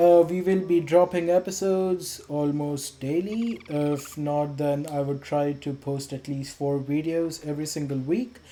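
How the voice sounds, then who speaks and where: A fairly slow pace in an Indian accent, with hardly any pauses. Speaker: gaming youtuber. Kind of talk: gameplay voiceover commentary. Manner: casual, relaxed.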